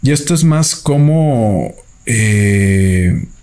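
Lively intonation runs through this man's speech. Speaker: film review podcaster. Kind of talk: solo film review monologue. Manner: halting, many fillers.

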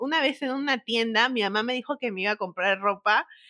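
In a raised, projected voice, a woman speaks with a bright, sharp tone and lively intonation. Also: dry, close sound with no echo. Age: 20s. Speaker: TikToker. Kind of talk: casual chat.

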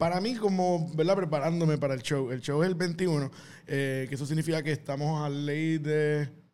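A man talks at a moderate pace. His pitch is fairly high and his intonation fairly even. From Puerto Rico. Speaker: comedian. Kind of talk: casual chat.

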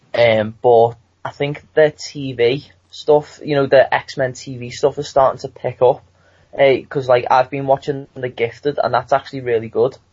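The voice carries a British accent and is somewhat breathy. It moves at a fairly slow pace in a flat monotone. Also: man, medium pitch for a man. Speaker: student. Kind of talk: casual chat.

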